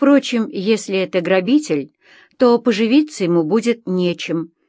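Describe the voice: Over a quiet background, the plain reading aloud carries lively intonation.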